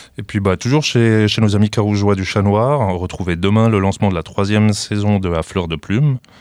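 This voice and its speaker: A man talks at a fairly quick pace in a very deep, low voice with ordinary pitch variation, recorded dry and close with no echo, very clean and with a silent background. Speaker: radio co-host. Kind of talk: event announcements. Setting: studio. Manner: halting.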